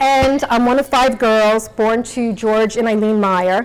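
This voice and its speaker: At a fairly slow pace, a woman with a slight New York accent speaks in a fairly high pitch with ordinary pitch variation. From New York City (Queens). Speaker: nonprofit executive, speaker. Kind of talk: motivational talk.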